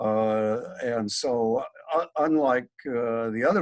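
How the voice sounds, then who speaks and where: The speaker has an American accent and ordinary pitch variation, heard in a very clean recording with a silent background. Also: man. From US upper Midwest, Michigan. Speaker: book club participant. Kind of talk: book discussion. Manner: halting, many fillers.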